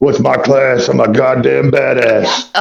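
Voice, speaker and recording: Putting on a raspy character voice, a man speaks at a fairly slow pace. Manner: grumpy.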